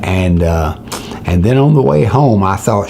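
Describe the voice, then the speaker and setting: A man is speaking. Audible room echo and noticeable background noise fill the recording. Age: 70s. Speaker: preacher. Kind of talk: sermon with personal story. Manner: halting, frequent uh fillers.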